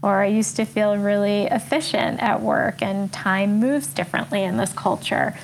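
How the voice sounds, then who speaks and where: A woman with a New York accent at a moderate pace, very even loudness, and noticeable background noise. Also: medium pitch for a woman, hardly any pauses. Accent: New York American. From New York City, US. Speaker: coach and author. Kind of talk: casual interview conversation.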